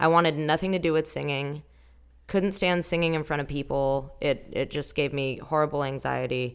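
On a very clean recording with a silent background, a woman in an American accent speaks at a moderate pace with a very deep, low pitch and fairly even intonation. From Southern California. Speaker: singer. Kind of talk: interview.

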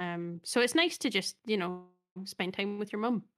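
A woman with a Scottish accent speaks at a moderate pace with ordinary pitch variation. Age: 30s. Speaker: podcast co-host. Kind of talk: casual chat. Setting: remote call over the internet.

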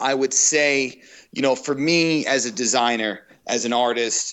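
A man speaks fairly slowly in a plain, everyday voice. His pitch is medium and varies in an ordinary way. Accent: American. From Long Island, New York. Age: 40s. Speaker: lighting designer. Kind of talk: interview.

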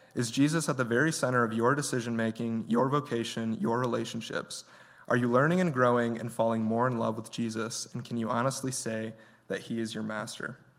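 A man with an American accent keeps his intonation fairly even, with audible room echo around him. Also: medium pitch for a man, fairly quick pace. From Michigan. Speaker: guest preacher. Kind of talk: sermon.

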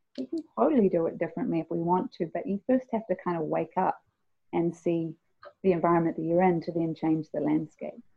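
Her pitch fairly low with ordinary variation, a woman in a New Zealand accent talks at a fairly quick pace. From New Zealand (immigrated as a child). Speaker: singer-songwriter. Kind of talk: interview. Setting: remote call.

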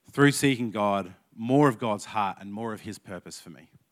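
Lively intonation from a man with an Australian accent, at a fairly slow pace, on a very clean recording with a silent background. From Australia, Canberra. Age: 30s. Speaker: youth leader giving a sermon. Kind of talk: sermon.

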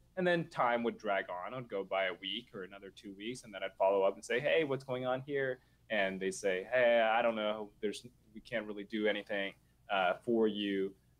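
This is an unremarkable speaking voice with an American accent at a fairly quick pace. Its pitch varies in an ordinary way, and its loudness swings widely. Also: man, fairly low pitch for a man. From Nashville, Tennessee, US South. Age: 20s. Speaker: real estate investor. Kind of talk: casual interview. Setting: video call from adjacent office.

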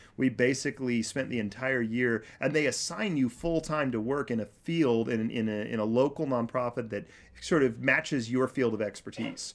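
Here is a man with an American accent and an unremarkable speaking voice. His pitch is medium with ordinary variation, and he keeps a moderate pace with hardly any pauses. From Kansas. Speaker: nonprofit director working with refugees. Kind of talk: casual chat.

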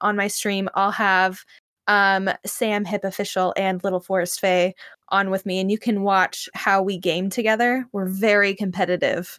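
On a very clean recording with a silent background, a woman with an ordinary speaking voice talks at a medium pitch and a moderate pace. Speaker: editor and podcast co-host. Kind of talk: casual chat.

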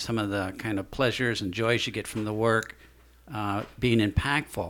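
A man talks in a normal speaking voice, pitched fairly low. His pace is moderate. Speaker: podcast host. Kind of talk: casual interview.

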